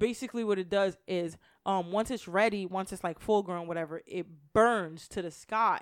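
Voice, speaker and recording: On a very clean recording with a silent background, a woman speaks in a normal speaking voice at a medium pitch. Her pace is moderate and her intonation fairly even. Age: 30s. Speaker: podcast host. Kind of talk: casual chat.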